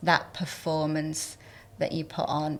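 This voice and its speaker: A woman speaks with a Northern English accent. Her pitch is fairly low and her pace fairly slow. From Northern England. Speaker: entertainment journalist and former actor. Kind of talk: podcast interview answer.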